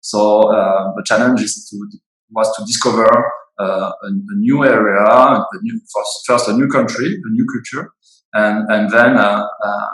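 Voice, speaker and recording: Speaking with a French accent, a man goes at a fairly slow pace. His loudness swings widely. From France, Bordeaux. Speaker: winemaker. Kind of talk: interview. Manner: halting, many fillers.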